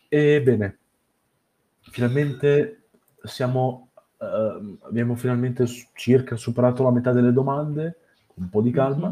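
With a dark, mellow tone and a medium pitch, a man speaks at a very slow pace using ordinary pitch variation. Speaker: podcast interviewer. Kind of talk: casual interview chat. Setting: online call.

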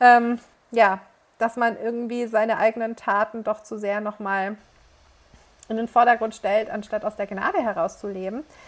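Speaking at a moderate pace in a monotone, flat intonation, a woman with a fairly high pitch leaves long, frequent pauses on a very clean recording with a silent background. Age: 30s. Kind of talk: casual faith conversation.

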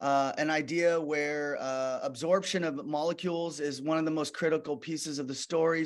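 In an American accent, a man speaks at a fairly high pitch and a moderate pace, monotone with flat intonation, over a quiet background. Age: 50s. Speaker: physician and skincare founder. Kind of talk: interview. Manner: hesitant, many fillers.

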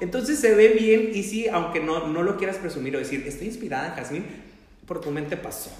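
Noticeable background noise and audible room echo around a man's high voice. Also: lively intonation, fairly quick pace. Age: 30s. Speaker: media reporter and Disney influencer. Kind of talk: casual chat.

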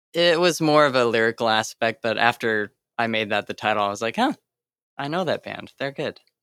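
Over a very clean recording with a silent background, a man speaks at a fairly quick pace. His pitch is medium with ordinary variation, and the sound is dry and close with no echo. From US West, Sacramento, California. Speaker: electronic musician. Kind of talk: interview. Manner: halting, many fillers.

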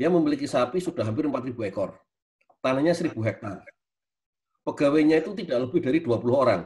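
A man speaks at a fairly quick pace in a fairly high, somewhat breathy voice with lively intonation. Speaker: university lecturer, speaker. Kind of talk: webinar lecture.

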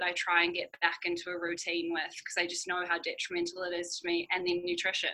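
Her bright, sharp tone at a fairly low pitch comes at a very fast pace, as this woman barely pauses at all. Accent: New Zealand. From New Zealand. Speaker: amateur cyclist and project manager. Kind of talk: podcast interview.

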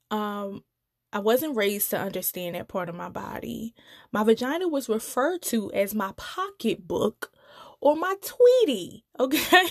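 In a dry, close sound with no echo, a woman speaks at a fairly slow pace with very wide pitch swings and big swings in loudness. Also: fairly high pitch for a woman. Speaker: podcast host. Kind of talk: solo podcast monologue, casual and conversational. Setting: solo podcast recording. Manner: casual, upbeat, chatty.

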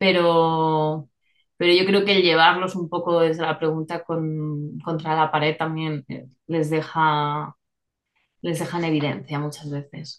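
Delivery is very slow, with monotone, flat intonation throughout. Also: woman, very deep, low pitch for a woman. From Spain, small rural town. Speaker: journalist and therapist. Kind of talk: interview. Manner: hesitant, many fillers and repetitions.

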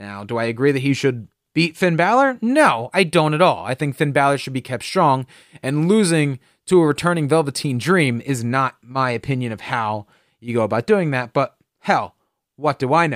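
This is a man speaking at a moderate pace. He has a normal speaking voice. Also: fairly high pitch for a man, lively intonation, very clean recording, silent background. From New Jersey. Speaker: wrestling podcast host. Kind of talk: solo podcast commentary. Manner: casual, filler-heavy.

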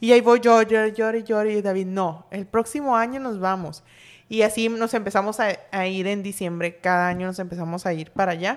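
At a moderate pace, a woman with an ordinary speaking voice speaks at a medium pitch with ordinary pitch variation against a quiet background. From Sinaloa, Mexico. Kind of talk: casual chat.

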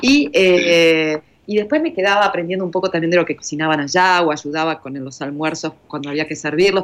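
At a fairly quick pace, a woman talks in an ordinary speaking voice with a fairly low pitch. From Argentina. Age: 50s. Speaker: journalist, volunteer traveler. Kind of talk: interview, personal testimony.

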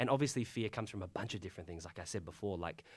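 Intonation is lively in this Australian accent, heard on a very clean recording with a silent background. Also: man. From Tasmania, Australia. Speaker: college chaplain and pastor. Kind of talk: casual chat.

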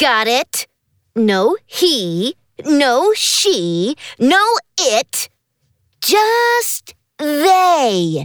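In a cartoonish character voice, high in pitch with very wide pitch swings, the speaker moves at a very slow pace with long, frequent pauses. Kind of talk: comic overacting. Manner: bossy, sarcastic, impatient.

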